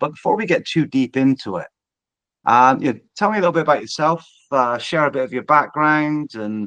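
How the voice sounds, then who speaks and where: This man talks at a fairly quick pace with a West Country accent and lively intonation. His tone is bright and sharp, and the background is quiet. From England, Bristol / Southwest. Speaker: podcast host, digital transformation business. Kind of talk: podcast interview.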